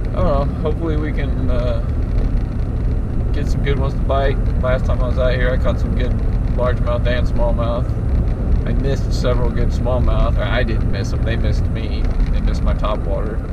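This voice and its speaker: Loud background noise accompanies a man talking at a fairly quick pace. The sound is dry, with no echo. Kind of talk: casual vlog chat. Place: car. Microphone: camera far.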